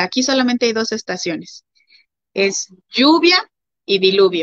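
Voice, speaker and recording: A woman speaks at a fairly slow pace. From Mexico. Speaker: missionary's wife. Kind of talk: interview. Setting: livestream.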